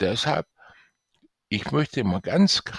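On a very clean recording with a silent background and a dry, close sound with no echo, a man speaks at a very slow pace with vocal fry and very wide pitch swings. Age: 60s. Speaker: author and IT specialist promoting his book. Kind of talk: sales pitch.

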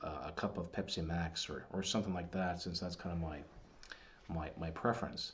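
A very deep, low-pitched male voice. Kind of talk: casual commentary on books. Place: home room. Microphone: webcam.

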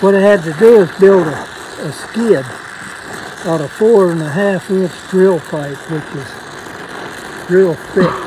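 A high-pitched man at a fairly slow pace with long, frequent pauses, big swings in loudness and ordinary pitch variation, dry with no echo but with noticeable background noise. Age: 80s+. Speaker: welder. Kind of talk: casual storytelling conversation. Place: open country.

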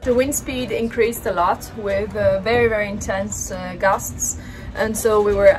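A woman with an Italian accent, against noticeable background noise. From Italy. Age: 20s. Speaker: live-aboard sailor. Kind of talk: casual vlog narration. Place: boat. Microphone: phone near.

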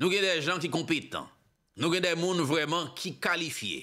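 The voice has a bright, sharp tone with vocal fry and moves at a fairly slow pace. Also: man, quiet background. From Haiti. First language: Haitian Creole (speaking French). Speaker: political commentator / online show host; news commentator. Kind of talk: political commentary monologue. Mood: critical, impassioned. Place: studio. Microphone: studio mic.

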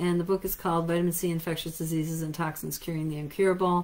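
Very fast and monotone, a woman talks at a fairly low pitch with an American accent. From United States. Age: 50s. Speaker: natural health clinic owner and practitioner. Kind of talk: lecture. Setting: live stream. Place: office. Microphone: webcam.

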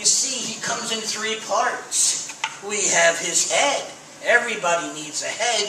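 Noticeable background noise and audible room echo surround a man speaking at a high pitch and a fairly slow pace. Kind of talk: children's magic show patter. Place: stage.

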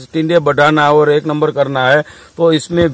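A man's fairly high-pitched voice in a dry sound with no echo. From Gujarat. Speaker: seed shop owner. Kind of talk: field interview. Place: farm. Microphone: phone near.

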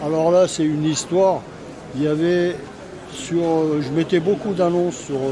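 A man's fairly high-pitched voice at a very slow pace, with noticeable background noise. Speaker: vintage car parts dealer. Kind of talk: casual interview at trade show. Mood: animated, reminiscing. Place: market. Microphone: phone near.

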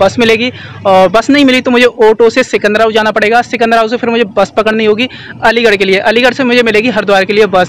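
A man talks at a fairly quick pace in an extremely high pitch, his intonation monotone and flat. The sound is dry with no echo, with light background noise. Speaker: travel vlogger. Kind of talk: casual vlog chat. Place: street. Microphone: phone near.

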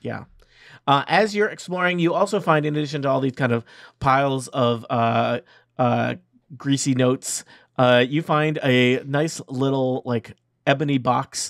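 Against a quiet background, a man with an unremarkable speaking voice talks at a fairly slow pace. His pitch is fairly high with ordinary variation, and the sound is dry with no echo. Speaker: dungeon master running a tabletop game. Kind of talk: tabletop role-playing game narration and banter. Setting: online recording with remote players. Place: home room. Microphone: video call.

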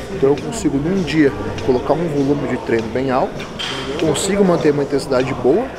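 Fairly quick speech with ordinary pitch variation over loud background noise. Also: man. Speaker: bodybuilding coach. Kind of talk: casual explanation of training method. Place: gym.

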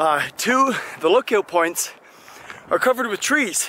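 A man speaks with lively intonation in a dry sound with no echo, over light background noise. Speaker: travel vlogger. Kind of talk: casual vlog chat. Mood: annoyed ranting. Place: open country. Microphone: phone near.

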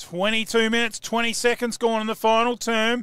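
Raised and projected, a man's extremely high voice sounds bright and sharp, with fairly even intonation. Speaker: football commentator. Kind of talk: live sports commentary. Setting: commentary box.

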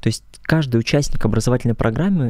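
Over a quiet background with a dry sound and no echo, a man speaks at a fairly quick pace in a dark, mellow tone. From Russia, Krasnodar region (rural Kuban); Krasnodar region, Russia. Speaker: choral conductor and student; interview guest. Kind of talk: interview. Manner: formal. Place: studio. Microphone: studio mic.

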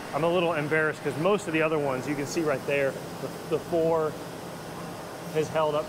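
A male voice comes through with noticeable background noise. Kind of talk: walkthrough tutorial. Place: factory. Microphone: phone near.

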